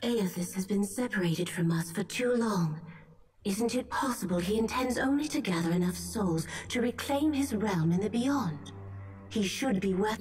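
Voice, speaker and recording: A female-sounding put-on character voice speaks at a moderate pace and medium pitch, with clear background noise. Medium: game stream. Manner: warm, calming.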